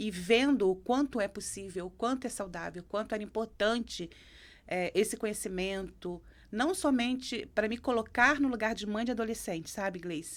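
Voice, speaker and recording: A woman with a Rio de Janeiro accent speaks at a moderate pace, her pitch fairly high with ordinary variation. The background is silent and the recording very clean. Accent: carioca. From Brazil, Rio de Janeiro. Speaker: psychoanalyst. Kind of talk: interview conversation.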